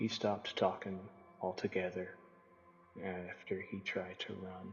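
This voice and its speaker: A man's drawling, very deep put-on character voice at a moderate pace, with clear background noise. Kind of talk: campfire-style cosmic horror narration. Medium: read story. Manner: slow-burning, drawling.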